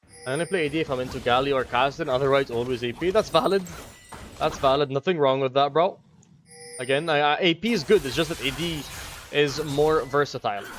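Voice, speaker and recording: Amid noticeable background noise, a fairly high-pitched man talks at a very fast pace with ordinary pitch variation. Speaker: gaming streamer. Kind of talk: live gameplay commentary with chat reading. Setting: live stream. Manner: casual, fast.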